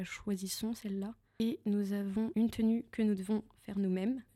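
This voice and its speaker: With big swings in loudness, a woman speaks at a moderate pace and a medium pitch in a dark, mellow tone that is somewhat breathy. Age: 20s. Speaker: beauty pageant contestant. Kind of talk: interview. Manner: halting.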